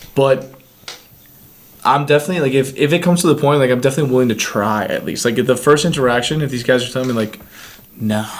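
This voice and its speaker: A man at medium pitch talks very fast with ordinary pitch variation, broken by long, frequent pauses. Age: young. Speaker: podcast co-host. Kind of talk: casual chat. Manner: talkative.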